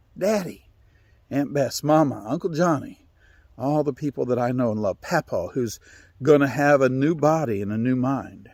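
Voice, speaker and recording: The recording is very clean, its background silent. In it, a man with a fairly high pitch and ordinary pitch variation talks at a moderate pace. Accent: Appalachian. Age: 60s. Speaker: storyteller. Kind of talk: storytelling. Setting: outdoors.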